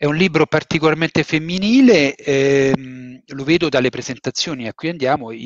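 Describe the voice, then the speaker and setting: In a quiet background with a dry sound and no echo, a man with a fairly high pitch speaks at a moderate pace, with ordinary pitch variation and hardly any pauses. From Rome, Italy; Italy. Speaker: novelist. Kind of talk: book talk interview. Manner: halting. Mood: relaxed, reflective. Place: home room. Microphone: headset.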